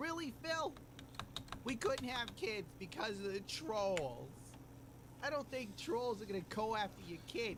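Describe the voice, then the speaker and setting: Noticeable background noise runs under speech that moves at a fairly slow pace with long, frequent pauses. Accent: American. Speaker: commentary YouTuber. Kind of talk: commentary video.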